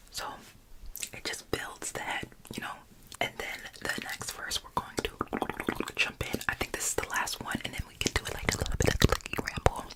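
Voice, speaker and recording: Whispering in a relaxed tone at a moderate pace, a woman leaves long, frequent pauses, her loudness swinging widely over noticeable background noise. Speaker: ASMR creator and Bible study host. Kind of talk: ASMR Bible study ramble to camera. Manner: soft, relaxed, conversational.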